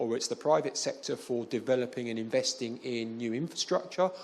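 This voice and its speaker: A man with a London accent talks at a fairly quick pace in a fairly high voice with lively intonation. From London, England. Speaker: development finance specialist. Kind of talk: panel interview. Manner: halting, many fillers.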